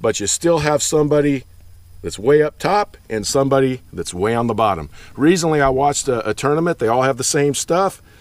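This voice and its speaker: A man with a plain, everyday voice speaks at a fairly high pitch and a fairly quick pace, with lively intonation. The recording is very clean, with a silent background. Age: 50s. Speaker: bass fishing youtuber. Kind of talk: unscripted monologue. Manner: casual, conversational.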